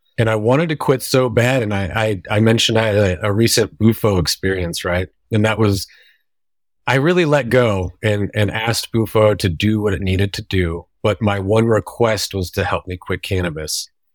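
An ordinary speaking voice moves at a moderate pace with ordinary pitch variation, dry and close with no echo, in a very clean recording with a silent background. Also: man, fairly low pitch for a man. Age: 30s. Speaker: tattoo and visual artist. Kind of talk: casual chat.

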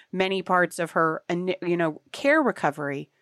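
On a very clean recording with a silent background and a dry, close sound with no echo, a woman with an American accent speaks at a moderate pace and a medium pitch. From US South. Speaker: nonprofit advocacy leader. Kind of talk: interview. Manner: halting.

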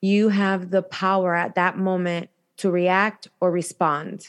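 In an American accent, a woman speaks at a medium pitch over a quiet background. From Chicago, US Midwest. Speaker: domestic violence survivor and advocate. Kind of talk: interview, personal testimony.

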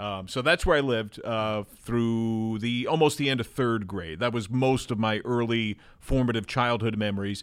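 Using an ordinary speaking voice with an American accent, a man talks at medium pitch and a moderate pace, with ordinary pitch variation and hardly any pauses. The recording is very clean, with a silent background. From New Jersey. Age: 40s. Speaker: baseball TV play-by-play announcer. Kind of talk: casual chat. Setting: studio.

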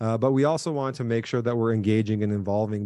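An energetic man talks at a medium pitch. The background is quiet. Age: 30s. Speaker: tech startup co-founder and marketing professor. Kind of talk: interview.

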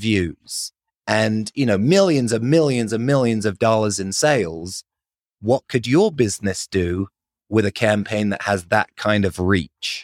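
Speaking with an American accent, a man at medium pitch keeps a fairly slow pace and lively intonation. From London, England. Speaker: marketing agency founder. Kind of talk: casual interview.

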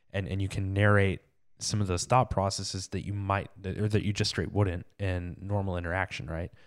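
In a very clean recording with a silent background, a man talks at a fairly quick pace, his fairly low voice monotone and flat. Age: 30s. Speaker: podcast host. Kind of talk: interview.

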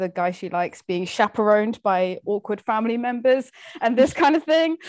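This woman talks at a moderate pace with a medium pitch and an unremarkable speaking voice. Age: 20s. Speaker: literature graduate. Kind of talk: casual chat.

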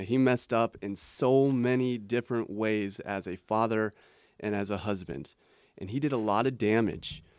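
An ordinary speaking voice from a man with an American accent, fairly low in pitch with ordinary pitch variation, comes at a moderate pace in a very clean recording with a silent background and a dry, close sound with no echo. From Portland, Oregon, US Pacific Northwest. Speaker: author. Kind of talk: interview.

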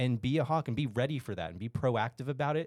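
A man talks at a fairly quick pace in a plain, everyday voice with ordinary pitch variation. The recording is very clean, with a silent background. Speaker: restaurant franchise manager. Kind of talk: casual business discussion.

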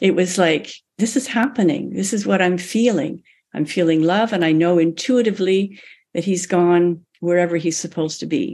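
A woman with a fairly low pitch and a dark, mellow tone speaks at a moderate pace with ordinary pitch variation, in a very clean recording with a silent background. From Canada. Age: 70s. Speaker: author and palm reader. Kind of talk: interview.

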